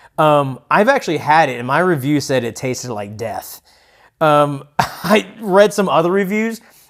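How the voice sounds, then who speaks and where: Delivery moves at a moderate pace. Pitch swings are very wide. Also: man, fairly high pitch for a man. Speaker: beer review podcast co-host. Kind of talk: casual chat.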